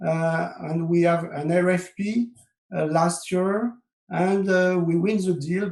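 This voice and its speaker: With a French accent, the speaker goes at a very slow pace and keeps the intonation fairly even. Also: man. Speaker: software consultant. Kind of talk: webinar presentation. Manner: halting, many fillers.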